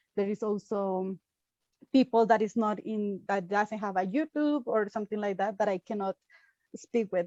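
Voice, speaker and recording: Speaking at a fairly quick pace, a woman with a fairly high pitch and a dark, mellow tone keeps her intonation fairly even, in a dry, close sound with no echo. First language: not English. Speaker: YouTuber, content creator. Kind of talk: interview. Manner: halting.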